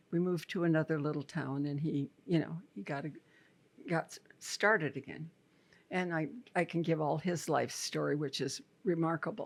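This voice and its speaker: Very deep and low in pitch, a woman speaks with ordinary pitch variation and long, frequent pauses, in a very clean recording with a silent background. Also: moderate pace. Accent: American. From Iowa, USA. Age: 80s+. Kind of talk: interview answer.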